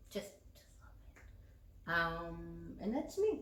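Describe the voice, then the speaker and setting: Audible room echo and noticeable background noise accompany a woman's speech. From US South, eastern North Carolina. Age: 30s. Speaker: channel co-host. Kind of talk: casual chat.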